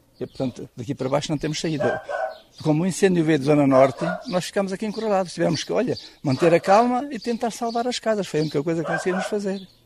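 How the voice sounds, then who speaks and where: A man with a high pitch at a very fast pace, over noticeable background noise. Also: lively intonation. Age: 60s. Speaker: villager. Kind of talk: testimony.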